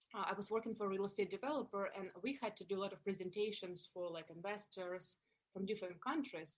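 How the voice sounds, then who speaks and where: A woman speaks with a Russian accent. Her pace is fairly quick. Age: 30s. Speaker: actress and comedian. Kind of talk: interview. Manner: animated.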